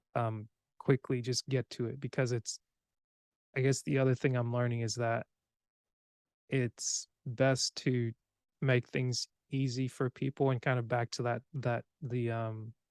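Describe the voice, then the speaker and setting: A man with an American accent speaks at a fairly slow pace in a flat monotone at medium pitch, with long, frequent pauses and a dry, close sound that has no echo. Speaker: podcast host. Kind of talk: casual chat.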